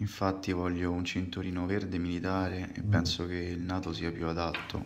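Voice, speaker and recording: At a moderate pace with hardly any pauses, a man speaks in a very deep, low pitch and monotone, flat intonation, with light background noise. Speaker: watch collector; watch reviewer. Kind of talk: casual video presentation. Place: home room.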